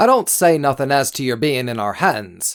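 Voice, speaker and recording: A man's put-on character voice at a moderate pace, in a very clean recording with a silent background. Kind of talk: immersive audiobook character acting. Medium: read story. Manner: folksy, wheedling, genially threatening.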